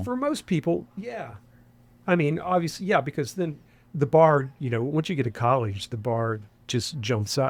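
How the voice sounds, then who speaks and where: A man with an American accent speaks at a moderate pace, his voice fairly high and somewhat breathy. The recording is very clean, with a silent background. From West Virginia. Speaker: former actor and television executive. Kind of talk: interview answer. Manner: casual, conversational.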